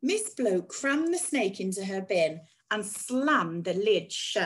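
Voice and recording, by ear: Someone is reading aloud in a natural voice.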